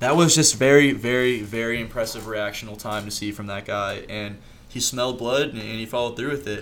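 A man with a medium pitch talks at a fairly quick pace, with ordinary pitch variation and big swings in loudness. Audible room echo and noticeable background noise surround him. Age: 20s. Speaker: amateur mixed martial artist. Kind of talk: casual chat.

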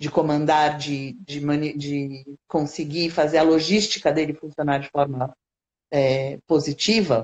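Very deep, low female voice, fairly slow in pace and fairly even in intonation. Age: 50s. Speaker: educator and animal-assisted therapy specialist. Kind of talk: interview conversation.

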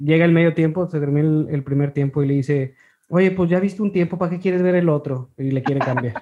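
Talking at a very fast pace, a man with a fairly high pitch has a dark, mellow tone and ordinary pitch variation. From Ciudad Victoria, Mexico. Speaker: podcast host. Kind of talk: casual interview.

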